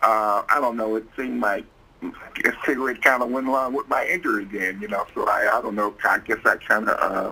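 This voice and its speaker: There's clear noise in the background. His delivery moves along rather quickly. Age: 60s. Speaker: paraplegic advocate, board member. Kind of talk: interview, personal testimony.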